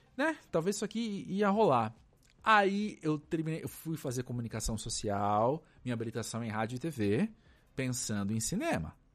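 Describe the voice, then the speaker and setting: A man of medium pitch talks at a moderate pace with very wide pitch swings, recorded very cleanly against a silent background. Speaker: cultural journalist and podcaster. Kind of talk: casual chat. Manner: halting.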